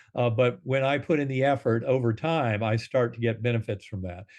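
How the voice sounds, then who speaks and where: This man has an unremarkable speaking voice with a medium pitch, ordinary pitch variation and a moderate pace. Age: 60s. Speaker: neurosurgeon and near-death experiencer. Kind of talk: interview conversation.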